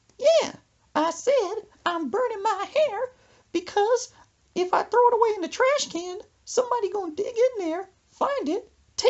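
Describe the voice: A put-on character voice squeaks at an extremely high pitch. The pace is moderate.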